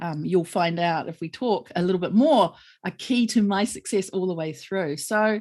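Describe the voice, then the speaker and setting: At a moderate pace, a woman talks with a New Zealand accent. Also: medium pitch for a woman, ordinary pitch variation, quiet background. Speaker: lawyer. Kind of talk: interview conversation.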